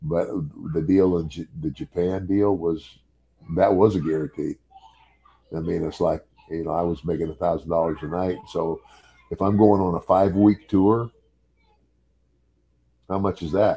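A man's very deep, low voice, broken by long, frequent pauses. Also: fairly even intonation, moderate pace. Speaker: podcast guest. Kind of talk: interview answer. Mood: amused, relaxed. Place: home room. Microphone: webcam.

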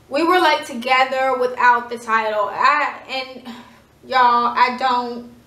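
A woman speaks at a high pitch, with audible room echo around her voice. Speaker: vlogger. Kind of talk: storytelling; casual storytime vlog chat. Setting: at home. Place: home room. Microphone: phone near.

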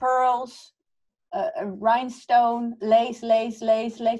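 Very slowly, a woman speaks at a fairly high pitch over a quiet background. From Netherlands. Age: 40s. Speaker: fantasy artist. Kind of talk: casual panel conversation. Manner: laughs often. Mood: amused, self-deprecating. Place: home room. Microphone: video call.

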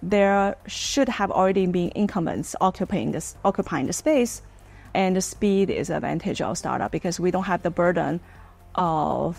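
Ordinary pitch variation shows in the way a woman talks. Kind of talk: interview answer. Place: office.

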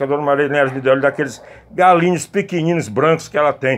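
A man is speaking. He goes at a very fast pace. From Brazil, Fortaleza, Ceará (Northeast); Ceará, Brazil. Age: 50s. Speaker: journalist and video blogger; journalist, video blogger. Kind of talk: casual storytelling vlog. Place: garden. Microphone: phone near.

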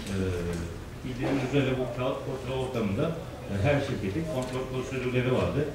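A man's voice with audible room echo and noticeable background noise. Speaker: panelist. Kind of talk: seminar talk. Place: hall.

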